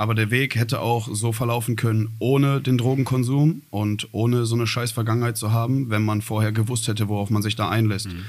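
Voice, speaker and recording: A man with an ordinary speaking voice talks at a medium pitch and fairly quick pace. He uses fairly even intonation and hardly any pauses. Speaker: rapper. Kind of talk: interview.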